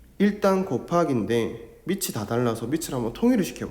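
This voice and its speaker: With lively intonation, a man talks at a fairly slow pace amid audible room echo. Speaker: math teacher. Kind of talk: lecture.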